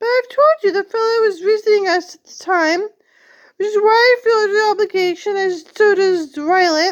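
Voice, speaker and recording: A woman's squeaky, put-on character voice, extremely high in pitch, at a moderate pace. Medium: read story. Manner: rambling, oblivious.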